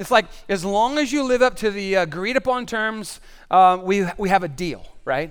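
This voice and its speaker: This man speaks at a moderate pace in a high pitch, with an animated tone and lively intonation. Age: 50s. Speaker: pastor. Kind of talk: sermon. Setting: stage with audience.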